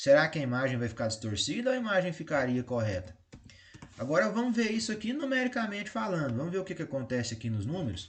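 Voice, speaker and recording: Somewhat breathy and fairly high in pitch, a man with a Brazilian accent talks at a very fast pace with very wide pitch swings. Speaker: math teacher. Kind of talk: lecture.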